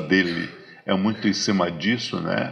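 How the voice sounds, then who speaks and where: Fairly even intonation marks this voice. The speaker is a man. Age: 60s. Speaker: lecturer on African philosophy. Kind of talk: lecture. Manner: halting, many repetitions and fillers.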